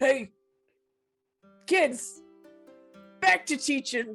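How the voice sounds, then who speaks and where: A high-pitched, put-on character voice plays over faint music in the background. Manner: serious, stern.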